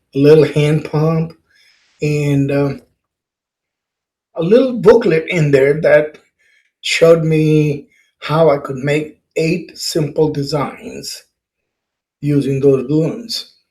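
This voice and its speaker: Somewhat breathy and dark and mellow in tone, a man speaks at a fairly high pitch with ordinary pitch variation, very slowly and with long, frequent pauses. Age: 70s. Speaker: balloon artist and workshop teacher. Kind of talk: casual workshop talk, personal story.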